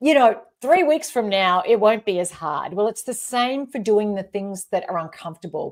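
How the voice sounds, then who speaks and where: Over a very clean recording with a silent background, a woman with an Australian accent speaks at a moderate pace and fairly high pitch, using lively intonation and hardly any pauses. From rural Australia. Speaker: leadership expert and author. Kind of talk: interview.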